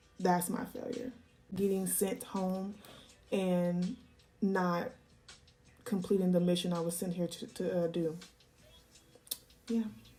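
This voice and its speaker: A woman at a medium pitch with fairly even intonation and long, frequent pauses, music playing in the background. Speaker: YouTuber answering viewer questions. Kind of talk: casual Q&A monologue. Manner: calm, measured.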